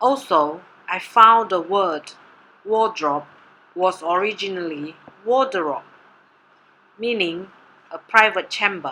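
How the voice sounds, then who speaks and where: At a very slow pace, a woman with a Mandarin accent speaks in a medium pitch with a bright, sharp tone and ordinary pitch variation. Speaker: doctoral candidate presenting research. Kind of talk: presentation. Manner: formal.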